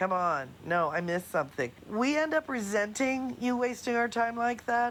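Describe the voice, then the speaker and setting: An animated woman with a fairly high pitch talks at a moderate pace, her pitch swinging very widely. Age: 60s. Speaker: caller. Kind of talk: voicemail.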